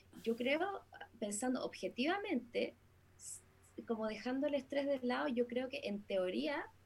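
A woman speaks at a fairly slow pace with a Chilean accent. Her voice is high-pitched, and her intonation is lively. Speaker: singer, musician. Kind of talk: casual chat.

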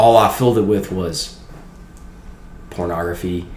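A man with a Louisiana accent, with audible room echo. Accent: US Southern, Louisiana. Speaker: college student. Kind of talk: testimony.

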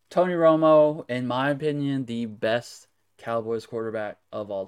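On a very clean recording with a silent background, a man with an American accent talks in an ordinary speaking voice at medium pitch with ordinary pitch variation. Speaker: sports card dealer. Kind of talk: recorded show-and-tell video.

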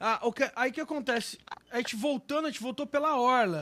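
His pitch is extremely high for a man, with ordinary pitch variation. He speaks at a moderate pace. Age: 40s. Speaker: musician and live show host. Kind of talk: casual chat. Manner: animated.

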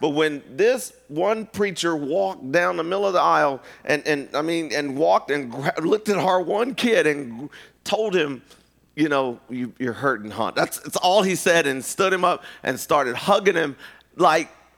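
A man at a moderate pace, fairly high-pitched, with lively intonation. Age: 50s. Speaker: preacher. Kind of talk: sermon. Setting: church. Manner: loud, animated.

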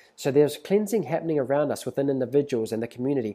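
A man talks very fast with a New Zealand accent, at medium pitch and in a dark, mellow tone. The recording is very clean with a silent background. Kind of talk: prophetic exhortation monologue.

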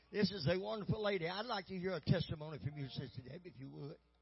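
Over music in the background, a man with a warm tone speaks very fast with lively intonation. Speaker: pastor introducing the evangelist. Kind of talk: church service introduction with audience call-and-response. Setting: church. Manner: warm, emphatic, folksy.

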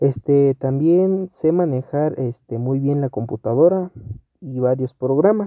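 A man with a fairly high pitch draws out his words at a very slow pace. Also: ordinary pitch variation. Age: 20s. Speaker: job applicant. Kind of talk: mock job interview self-presentation. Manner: hesitant, many fillers.

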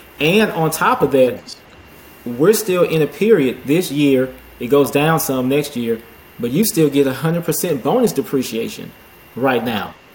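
Through noticeable background noise, a man talks at a moderate pace with a fairly high pitch and lively intonation. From Houston, Texas. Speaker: accountant and real estate investor. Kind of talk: casual interview chat.

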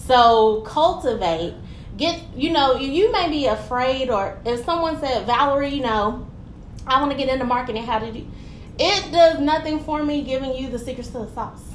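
Amid noticeable background noise and audible room echo, a woman speaks at a high pitch with lively intonation. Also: moderate pace. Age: young. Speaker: tourism consultant. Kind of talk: casual chat. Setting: office.

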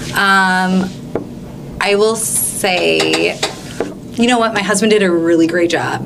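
A woman with a slight Minnesota accent speaks in a fairly low pitch with fairly even intonation. Audible room echo and noticeable background noise fill the recording. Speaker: English teacher. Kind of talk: interview.

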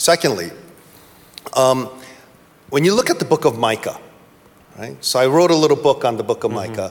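A man with an American accent and vocal fry, his pitch swinging very widely, with long, frequent pauses. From US East Coast. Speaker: pastor. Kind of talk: panel discussion. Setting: stage with audience.

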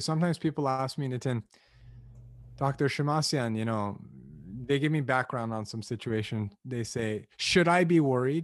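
A plain, everyday voice with an American accent, moderate pace and ordinary pitch variation. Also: man, medium pitch for a man. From Los Angeles, US. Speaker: admissions consultant. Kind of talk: casual interview chat.

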